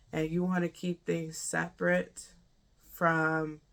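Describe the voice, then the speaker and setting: Fairly slow speech in a warm tone, on a very clean recording with a silent background. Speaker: life coach and business mentor. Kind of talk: casual talking-head tutorial. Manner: halting, many restarts; warm, informal.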